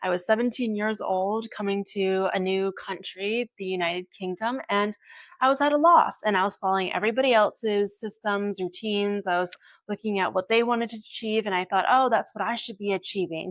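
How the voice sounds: A woman talks at a moderate pace. Her pitch is medium, with ordinary pitch variation.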